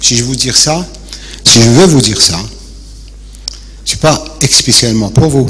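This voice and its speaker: Very slow speech amid noticeable background noise and audible room echo. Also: man. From Algeria, Béjaïa. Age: 70s. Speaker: retired architect, audience member. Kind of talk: audience question at a lecture debate.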